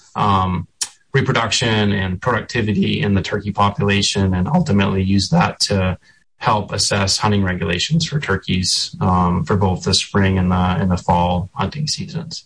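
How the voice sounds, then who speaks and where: A man with an American accent speaks at a fairly low pitch, his voice somewhat breathy and his loudness very even. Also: lively intonation, moderate pace. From central Maine, US. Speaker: state wildlife agency director. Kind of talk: radio interview. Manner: frequent filler ums.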